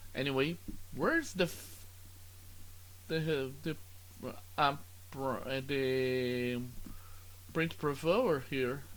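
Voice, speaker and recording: Speaking in a Brazilian Portuguese accent, a man talks at a very slow pace and a medium pitch with lively intonation, long, frequent pauses and audible room echo. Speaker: student. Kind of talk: tutorial. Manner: halting.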